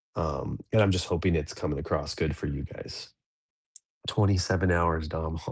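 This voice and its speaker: Against a quiet background, a somewhat breathy man speaks at a very deep, low pitch, keeping a moderate pace and fairly even intonation. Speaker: livestream host of a dads' show. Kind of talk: casual livestream chat. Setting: livestream from an office. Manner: quiet, low-pitched early-morning talk.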